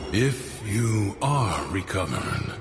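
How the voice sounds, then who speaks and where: Against clear background noise, a man performs a put-on character voice at a fairly low pitch. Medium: video game. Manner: calm, measured.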